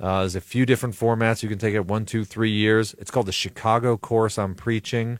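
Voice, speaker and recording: A man's medium-pitched, monotone, flat voice at a fairly quick pace with hardly any pauses, in a very clean recording with a silent background. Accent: American. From Buffalo, New York. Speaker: pastor and preaching trainer. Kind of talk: radio interview. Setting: studio.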